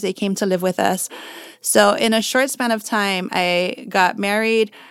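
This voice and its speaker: This woman has a normal speaking voice, pitched fairly high. She talks at a fairly slow pace with ordinary pitch variation. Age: 40s. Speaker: portrait photographer. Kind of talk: interview.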